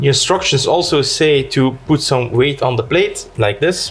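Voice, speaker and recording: A man with a Dutch accent speaks fairly slowly at a fairly high pitch. His intonation is lively, with noticeable background noise. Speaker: tech YouTuber. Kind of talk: product unboxing and review. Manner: casual, conversational.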